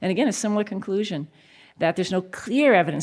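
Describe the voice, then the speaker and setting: A woman with an American accent at a very fast pace, on a very clean recording with a silent background. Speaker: researcher. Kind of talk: conference lecture.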